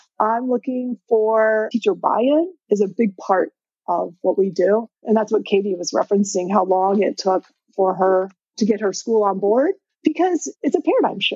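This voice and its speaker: A woman's fairly high voice with an American accent, a plain, everyday voice. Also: ordinary pitch variation, moderate pace. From Indiana. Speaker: retired teacher and ed tech founder. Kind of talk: interview.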